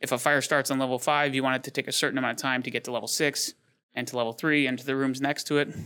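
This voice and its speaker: A man with an American accent talks very fast in a flat monotone at a medium pitch, his tone bright and sharp. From Michigan, Detroit. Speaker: business owner. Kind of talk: interview.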